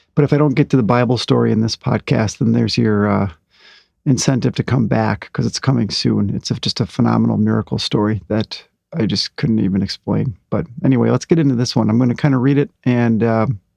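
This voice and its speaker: A man at a fairly quick pace, in a dry, close sound with no echo. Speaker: anxiety recovery podcaster. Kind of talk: casual podcast monologue. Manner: many fillers and hesitations.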